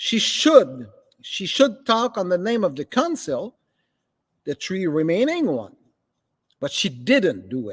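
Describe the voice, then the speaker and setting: Recorded very clean against a silent background with a dry, close sound and no echo, a man with a Quebec accent speaks very slowly at a high pitch, his pitch swinging very widely between long, frequent pauses. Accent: Québécois French accent in English. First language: French. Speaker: local political commentator. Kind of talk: political commentary monologue. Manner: halting.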